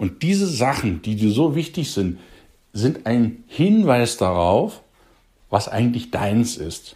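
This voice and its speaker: A man's dark, mellow, somewhat breathy voice at a very slow pace, with very wide pitch swings, on a very clean recording with a silent background. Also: medium pitch for a man. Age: 40s. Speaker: youth coach, podcast host. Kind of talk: motivational podcast monologue.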